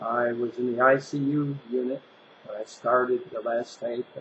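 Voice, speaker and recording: At a moderate pace, a man with a medium pitch talks in a monotone, flat intonation over noticeable background noise. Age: 60s. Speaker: health vlogger sharing personal story. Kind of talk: personal testimony monologue. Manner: casual, with fillers and restarts.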